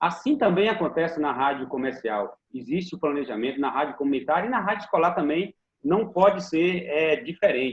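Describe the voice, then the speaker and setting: A man with vocal fry speaks at a fairly high pitch and a moderate pace. His intonation is lively. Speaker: teacher and school radio educator. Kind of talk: interview answer.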